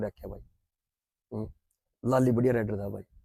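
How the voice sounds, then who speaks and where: This man's voice has a dark, mellow tone, captured with a dry, close sound and no echo. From Haryana. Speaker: former kabaddi player. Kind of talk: interview.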